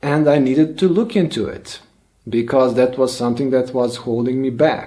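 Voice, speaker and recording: A man with a Bosnian accent speaks at medium pitch and a moderate pace. His tone is dark and mellow, with ordinary pitch variation. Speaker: language learning youtuber. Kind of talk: personal vlog monologue. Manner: halting, with fillers.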